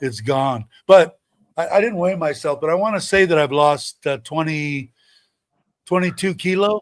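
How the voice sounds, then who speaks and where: A man with fairly high pitch talks at a moderate pace, his intonation lively. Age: 60s. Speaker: livestreamer. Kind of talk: casual chat. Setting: livestream. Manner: halting.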